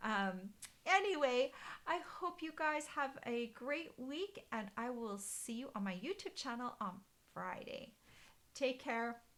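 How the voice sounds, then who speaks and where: Her pitch high and swinging very widely, a woman speaks at a very slow pace. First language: German. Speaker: card-making demonstrator. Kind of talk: live stream craft tutorial chat. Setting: Facebook live stream. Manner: casual, hesitant with many fillers. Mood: cheerful, friendly. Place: home room. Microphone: webcam.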